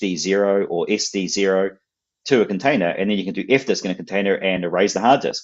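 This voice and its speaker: A man's fairly low voice at a fairly quick pace. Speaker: software company representative. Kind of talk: technical interview on live stream. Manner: repetitive, stammering restarts.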